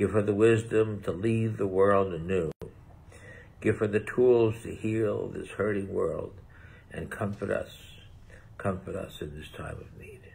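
A man speaks with long, frequent pauses and a somewhat breathy voice. His pitch sits fairly low, and his intonation stays fairly even. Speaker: deacon. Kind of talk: fervent prayer with call-and-response refrains. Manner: earnest, pleading, rhythmic repetition. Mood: solemn, earnest. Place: home room. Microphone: phone near.

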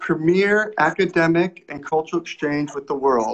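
Over light background noise, a man speaks at a high pitch. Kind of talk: formal welcome address. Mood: warm, earnest. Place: home room. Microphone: video call.

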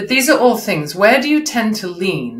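A woman speaks at medium pitch and a moderate pace. Her pitch swings are big, and room echo is audible.

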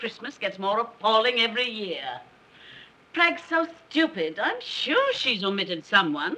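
A woman does a put-on character voice, fairly high in pitch with a bright, sharp tone. Her pitch swings very widely at a fairly slow pace.

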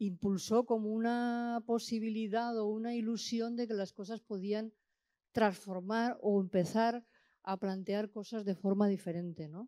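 In a quiet background, a woman with a fairly high pitch speaks at a fairly slow pace with a dark, mellow tone and fairly even intonation. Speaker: audience member. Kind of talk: question from audience. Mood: reflective, engaged. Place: hall. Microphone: handheld.

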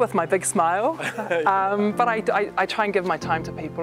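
A woman's voice over clear music in the background. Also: dry sound with no echo. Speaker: interviewee. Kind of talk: interview answer. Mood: warm, sincere. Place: gym.

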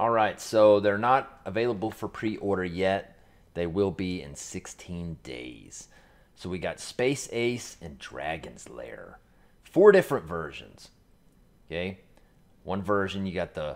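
A man speaks with lively intonation at a fairly slow pace. His pitch sits fairly low, and his loudness swings widely. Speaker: gaming channel host. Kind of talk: casual product review commentary. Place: home room.

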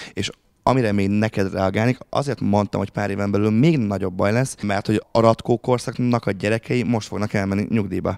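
Fairly quick, fairly low-pitched speech from a man with fairly even intonation, a dry sound with no echo and a quiet background. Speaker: university lecturer. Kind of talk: panel discussion. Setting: stage with audience. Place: meeting room. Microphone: handheld.

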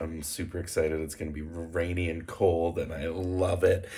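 A man speaks at a moderate pace in a very deep, low voice. His tone is somewhat breathy. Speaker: vlogger. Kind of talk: casual vlog chat. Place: home room. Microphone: phone near.

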